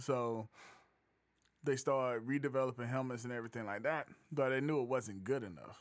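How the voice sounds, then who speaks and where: At a fairly quick pace, a man talks with an unremarkable speaking voice, medium pitch and fairly even intonation. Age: 40s. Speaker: podcast host. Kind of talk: casual chat.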